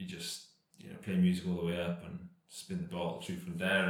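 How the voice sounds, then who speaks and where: With a Cardiff accent, a man speaks in fairly even intonation, with audible room echo around him. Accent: Welsh (Cardiff). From Wales, Cardiff. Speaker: professional cyclist. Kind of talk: casual chat.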